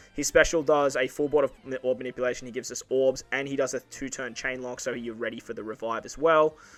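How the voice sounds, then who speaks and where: With an Australian accent, this man rattles along at a very fast pace, his medium pitch held in fairly even intonation. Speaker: mobile game youtuber. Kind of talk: gaming tutorial. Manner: casual, filler-heavy.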